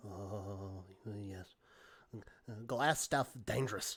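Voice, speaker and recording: A man puts on a character voice with a fairly low pitch. He delivers it at a very slow pace. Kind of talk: comic creature voice. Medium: actual play. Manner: stammering, broken speech, speaks of himself by name.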